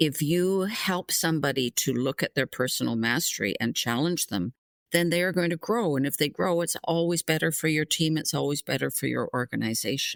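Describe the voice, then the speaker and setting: A woman talks at a fairly quick pace in a very deep, low voice with vocal fry and lively intonation. Her loudness stays very even, with hardly any pauses. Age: 70s. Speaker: career development expert. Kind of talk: interview.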